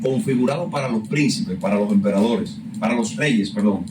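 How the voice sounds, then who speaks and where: A man's pitch swings very widely, with audible room echo and noticeable background noise surrounding his voice. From Dominican Republic. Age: young. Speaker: student. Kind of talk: casual chat.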